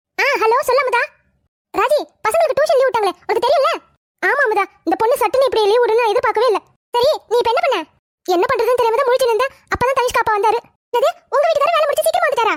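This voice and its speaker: Using a cartoonish character voice, a woman speaks very fast at an extremely high pitch with lively intonation. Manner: emotional, talkative.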